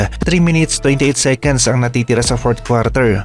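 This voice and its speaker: A man talks at a fairly quick pace with music playing in the background. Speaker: sports commentator narrating game highlights. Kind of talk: sports commentary over game highlights, scripted-sounding narration. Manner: admiring, enthusiastic tone.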